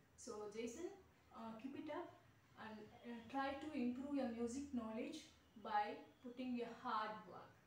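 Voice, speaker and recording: High-pitched woman's voice at a fairly slow pace, ordinary pitch variation, audible room echo and light background noise. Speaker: keyboard tutor. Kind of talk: video introduction to camera. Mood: warm, encouraging. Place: classroom.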